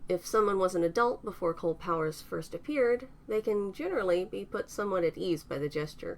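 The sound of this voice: Someone reads out loud, and the voice stays unforced.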